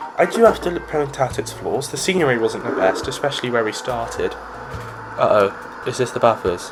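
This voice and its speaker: Over music in the background, someone with a British accent speaks at a moderate pace with lively intonation. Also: man. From Britain. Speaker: gaming YouTuber. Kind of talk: gameplay commentary. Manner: casual, rambling.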